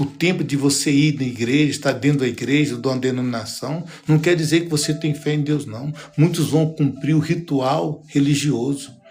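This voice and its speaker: This somewhat breathy voice has fairly even intonation, with audible room echo around it. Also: man, fairly high pitch for a man, moderate pace. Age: 60s. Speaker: pastor. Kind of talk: sermon. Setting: livestream.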